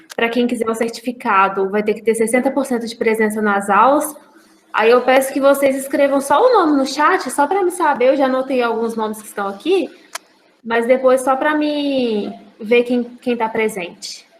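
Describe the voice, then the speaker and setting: With noticeable background noise around her, a woman speaks at a moderate pace. Her high voice has ordinary pitch variation. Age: 20s. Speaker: university student teaching a course. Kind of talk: online lecture. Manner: halting, with repeated words.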